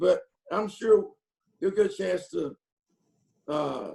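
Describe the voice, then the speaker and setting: A man with a Southern US accent. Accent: country Southern. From North Carolina. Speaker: football coach. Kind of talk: press conference Q&A. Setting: video call. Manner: halting, many repetitions and fillers.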